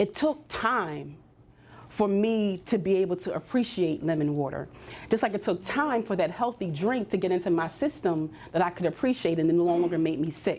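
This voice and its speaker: The speaker has a Philadelphia accent and lively intonation. The pace is moderate and the loudness very even. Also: woman, medium pitch for a woman. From US Northeast, Philadelphia. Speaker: career coach. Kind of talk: workshop talk.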